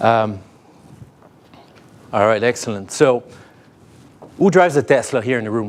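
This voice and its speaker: A man talks in a French accent. His pace is fairly quick. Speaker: tech company sales lead. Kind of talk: keynote talk. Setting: stage with audience. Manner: halting, many fillers.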